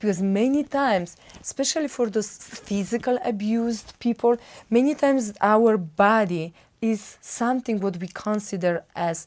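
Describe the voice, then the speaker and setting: A woman talks at a moderate pace with a Polish accent. Her pitch is fairly high and varies an ordinary amount. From Poland. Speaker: wellbeing coach. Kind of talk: self-help talk. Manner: halting.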